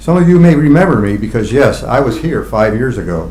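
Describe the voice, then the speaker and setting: There is audible room echo and noticeable background noise as a man speaks at a fairly quick pace. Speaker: gun rights advocate. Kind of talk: prepared statement at public comment. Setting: county board meeting with audience. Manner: fast.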